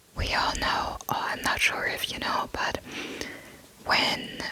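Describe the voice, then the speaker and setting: Whispering at a fairly slow pace with a German accent, the speaker is heard over noticeable background noise. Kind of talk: casual talk to listener. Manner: whispered.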